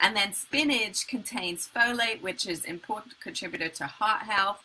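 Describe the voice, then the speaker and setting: In an American accent, a woman speaks at a fairly high pitch with ordinary pitch variation over noticeable background noise. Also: moderate pace. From England. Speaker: color healer and spiritual coach. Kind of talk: live online talk. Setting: live video stream.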